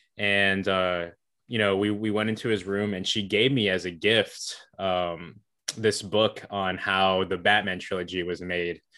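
A man speaks at a moderate pace in a very deep, low pitch, his tone bright and sharp. His intonation is monotone and flat, with a quiet background. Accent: American. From North Carolina, Hickory. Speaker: student documentary filmmaker. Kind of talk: interview. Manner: hesitant, many fillers.

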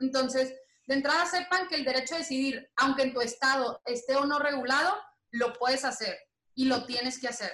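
A woman's raised, projected voice, high-pitched with a bright, sharp tone, fairly even intonation, and a fairly quick pace. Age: 20s. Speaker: lawyer and LGBT activist. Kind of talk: interview.

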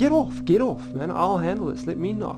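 A gruff, put-on character voice at a moderate pace, with clear music in the background. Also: man. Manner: brusque, taking charge.

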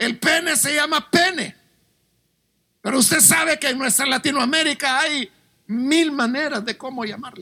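The speech moves at a fairly slow pace, broken by long, frequent pauses. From Latin America. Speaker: pastor. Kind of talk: sermon.

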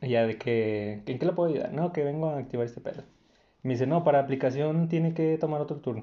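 A man talks fairly quickly in a normal speaking voice with ordinary pitch variation. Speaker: podcast co-host. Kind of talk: casual chat.

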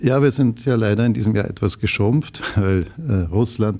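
This man talks at a moderate pace with a dark, mellow tone. His pitch varies in an ordinary way. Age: 60s. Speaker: real estate executive. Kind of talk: interview.

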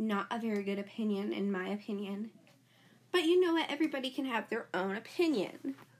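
Very wide pitch swings, a somewhat breathy quality and a fairly quick pace. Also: woman, fairly high pitch for a woman. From United States. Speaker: podcast host. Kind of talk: casual solo podcast monologue. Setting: home recording. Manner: animated.

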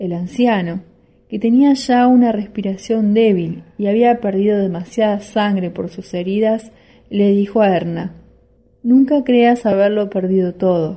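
A somewhat breathy woman's voice, medium in pitch and dark and mellow in tone, with ordinary pitch variation and a fairly slow pace. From Argentina, Rosario. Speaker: listener contributing own short story. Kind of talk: reading aloud own short story.

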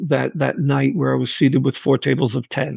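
A man in a New York accent at a moderate pace. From Long Island, New York. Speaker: restaurant server. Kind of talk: interview.

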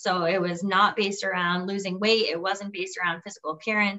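Using a normal speaking voice, a woman talks at a fairly quick pace and medium pitch, with fairly even intonation. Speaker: podcast host and entrepreneur. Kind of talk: casual interview chat.

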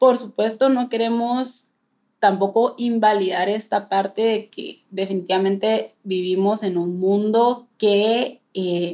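A woman at a very slow pace, with fairly even intonation. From Guatemala. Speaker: nutritionist podcast co-host. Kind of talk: casual chat. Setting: remote call across two countries.

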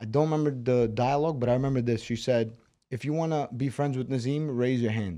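Talking very fast, a man uses a Brooklyn accent. His pitch sits in the medium range. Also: ordinary pitch variation. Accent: Brooklyn New York. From Moscow, Russia, raised in Brooklyn, New York. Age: 20s. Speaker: MMA fighter. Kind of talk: casual interview.

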